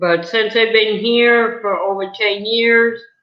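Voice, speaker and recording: A woman with an American accent at a very slow pace, amid audible room echo. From New England, US. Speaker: video interviewer, mother. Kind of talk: casual chat.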